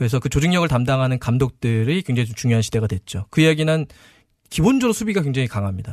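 Against a quiet background, a man speaks at a very fast pace with lively intonation and a somewhat breathy voice, the sound dry and close with no echo. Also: medium pitch for a man. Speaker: football commentator. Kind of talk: studio discussion. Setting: studio.

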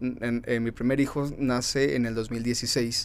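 Very slowly, a man of medium pitch talks with fairly even intonation. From Mexicali, Baja California, Mexico. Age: 30s. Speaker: environmental entrepreneur. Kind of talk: interview.

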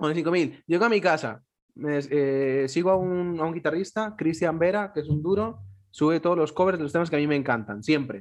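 The pitch moves in an ordinary way at a fairly quick pace. The background stays quiet. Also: man. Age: 20s. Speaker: podcast host. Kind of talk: casual chat. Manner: animated.

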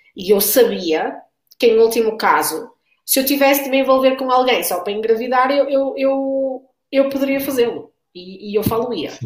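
A woman's high-pitched voice in a European Portuguese accent, at a moderate pace. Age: 30s. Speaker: mother in a same-sex marriage. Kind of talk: panel discussion.

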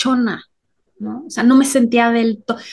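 Her voice sits fairly high for a woman. She talks at a fairly slow pace. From Mexico. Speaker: podcast co-host. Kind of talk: casual chat.

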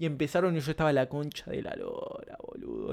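Speaking in a Uruguayan accent, a man keeps a moderate pace. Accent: Rioplatense Spanish (Uruguayan). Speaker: podcast co-host. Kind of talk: casual chat. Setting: home.

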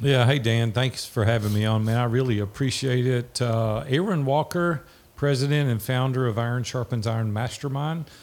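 A man speaks at a moderate pace in a plain, everyday voice, with hardly any pauses and very even loudness. His pitch is medium with ordinary variation. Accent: American. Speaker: entrepreneur. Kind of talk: interview. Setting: video call.

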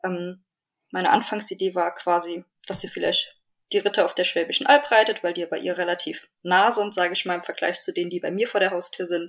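With a normal speaking voice, a woman talks at a medium pitch in fairly even intonation. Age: 20s. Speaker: endurance rider, horse owner. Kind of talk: casual interview.

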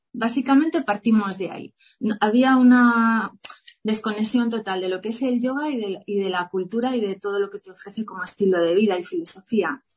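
With a normal speaking voice, a woman talks at a fairly quick pace and a fairly high pitch, showing ordinary pitch variation and big swings in loudness. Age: 40s. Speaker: yoga teacher and entrepreneur. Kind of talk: interview.

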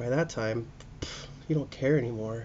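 With an American accent, a man talks at a fairly slow pace, his voice somewhat breathy and his intonation fairly even. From US Pacific Northwest (Spokane, Washington). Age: 30s. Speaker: podcast host, restaurant worker. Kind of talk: solo casual monologue. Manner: rambling, halting with fillers.

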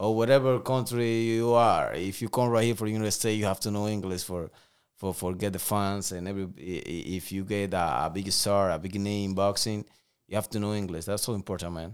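A man with a Spanish accent speaks at a fairly quick pace and a fairly low pitch, with fairly even intonation. The recording is very clean, with a silent background. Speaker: professional boxer. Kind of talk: interview.

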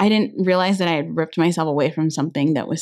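Against a quiet background, a woman with a fairly low pitch talks with vocal fry. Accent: American. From Inland Empire, Southern California. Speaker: alterations business founder. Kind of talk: interview.

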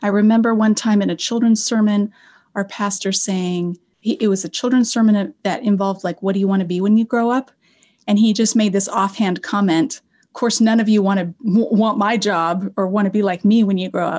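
Against a quiet background, a woman with a General American accent speaks somewhat breathily at a fairly quick pace and medium pitch, with fairly even intonation and big swings in loudness. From Colorado. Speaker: Old Testament professor. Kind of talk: interview.

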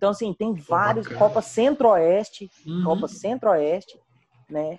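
Pitched high, a man's voice comes through dry and close with no echo. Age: 20s. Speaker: esports player. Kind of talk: casual chat.

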